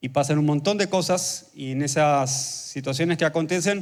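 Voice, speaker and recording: A fairly high pitch marks this man's voice. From Argentina, Buenos Aires province. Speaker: pastor. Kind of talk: sermon. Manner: fast.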